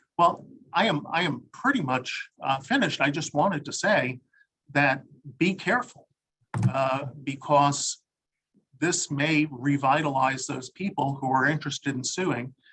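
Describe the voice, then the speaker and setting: A loud, bright, sharp male voice, fairly high in pitch, at a fairly slow pace with ordinary pitch variation. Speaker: lawyer. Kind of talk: webinar presentation.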